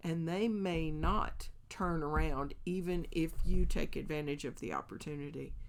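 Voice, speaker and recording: With audible room echo, the speech moves at a fairly slow pace with hardly any pauses. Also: woman. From Kentucky. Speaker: podcast host, Bible teacher. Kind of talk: devotional Bible teaching podcast. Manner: animated, conversational.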